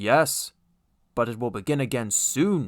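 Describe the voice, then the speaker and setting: Fairly slow pace in a put-on character voice. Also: man, medium pitch for a man. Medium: read story. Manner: petulant.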